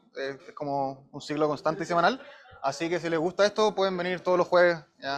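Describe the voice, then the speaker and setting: This speaker has a Chilean accent and talks at a fairly quick pace. The pitch varies an ordinary amount. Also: man. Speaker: machine learning engineer giving a talk. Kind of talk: lecture. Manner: fast; casual with many fillers.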